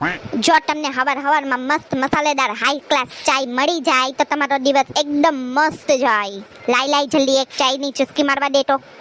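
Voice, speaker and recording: A woman's high-pitched, cartoonish character voice at a moderate pace, with fairly even intonation, dry, close sound with no echo and clear background noise. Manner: grumbling, sarcastic.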